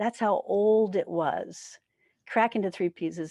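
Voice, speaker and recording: A woman with an American accent speaks at a moderate pace in a fairly high pitch with ordinary pitch variation and an unremarkable speaking voice, recorded with a dry, close sound with no echo against a quiet background. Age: 60s. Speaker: spiritual teacher. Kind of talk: sermon. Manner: conversational.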